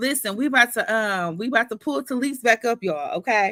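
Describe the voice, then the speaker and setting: A woman's fairly high, bright and sharp voice with an American accent, very wide pitch swings and vocal fry, at a moderate pace, dry and close with no echo, in a very clean recording over a silent background. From New York. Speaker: book club host, live-stream interviewer. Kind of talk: live-stream book discussion, casual chat. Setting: live stream. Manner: animated.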